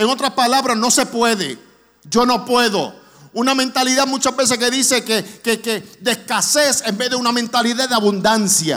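Bright and sharp in tone, a man's voice sits at an extremely high pitch and moves at a moderate pace. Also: ordinary pitch variation. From New York (Brooklyn), raised partly in Orlando. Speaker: guest preacher, charity vice president. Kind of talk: sermon. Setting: church. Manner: raises voice with passion.

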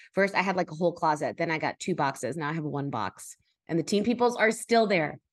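A woman's fairly low voice at a very fast pace, with ordinary pitch variation and a quiet background. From US, Miami, Cuban-American family. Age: 40s. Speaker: writer and podcast host. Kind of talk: casual interview.

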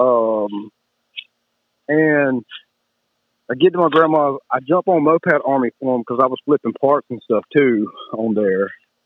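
A man with a Southern US accent talks at a medium pitch and a fairly slow pace. His pitch varies in an ordinary way, and he leaves long, frequent pauses. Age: 30s. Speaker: moped rider. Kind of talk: casual chat.

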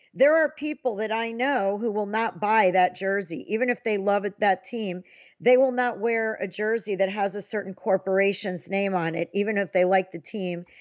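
Using a normal speaking voice, a woman at medium pitch talks at a moderate pace with ordinary pitch variation and hardly any pauses. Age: 50s. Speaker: sports journalist. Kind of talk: casual chat.

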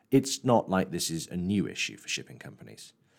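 Very clean recording of a male voice, moderate in pace, silent background. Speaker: podcast host, shipping journalist. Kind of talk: scripted narration and interview.

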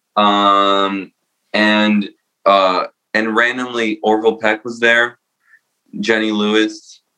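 A man's monotone, flat voice, fairly low in pitch, at a very slow pace with long, frequent pauses and music in the background. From New Jersey (born in Romania). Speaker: singer-songwriter and producer. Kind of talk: casual interview chat.

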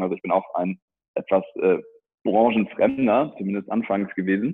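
This man has a fairly low pitch with a slightly husky edge. He keeps a moderate pace.

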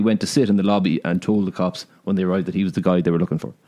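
Here a man speaks with an Irish accent. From Ireland. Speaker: podcast co-host. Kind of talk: casual chat.

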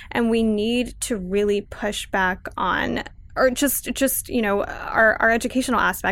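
A woman's fairly high voice in a Californian accent, with ordinary pitch variation. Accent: Californian American. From Los Angeles (Pacoima). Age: 20s. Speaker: activist. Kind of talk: casual chat.

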